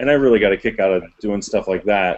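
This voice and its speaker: This man has an American accent. The rise and fall of his pitch is ordinary. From rural Ohio. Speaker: indie filmmaker and actor; actor. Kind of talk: casual panel discussion. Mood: friendly, engaged. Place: home room. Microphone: headset.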